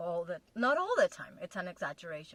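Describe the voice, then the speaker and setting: A woman speaks with a non-native accent. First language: not English. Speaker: relationship video co-host with partner. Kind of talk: casual chat. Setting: in a car.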